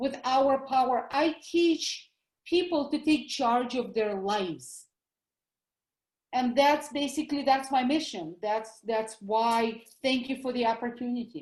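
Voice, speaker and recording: A high-pitched woman's voice with a Russian accent, ordinary pitch variation and a fairly slow pace. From Russia (former USSR). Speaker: doctor, health educator. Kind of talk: interview.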